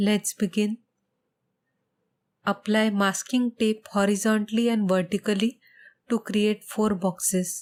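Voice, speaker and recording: A soft-spoken woman talks at a very slow pace in a medium pitch with monotone, flat intonation. The sound is dry and close with no echo, on a very clean recording with a silent background. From India. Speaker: painter. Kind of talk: tutorial voiceover.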